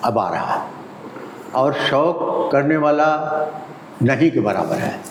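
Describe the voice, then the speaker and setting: Noticeable background noise sits behind a man with a fairly high pitch and ordinary pitch variation. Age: 80s+. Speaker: studio photographer. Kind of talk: interview answer.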